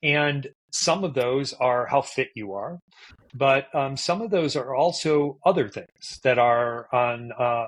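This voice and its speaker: A man with a normal speaking voice talks at a medium pitch and a fairly slow pace. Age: 60s. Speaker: neuroscientist and endurance coach. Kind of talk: podcast interview.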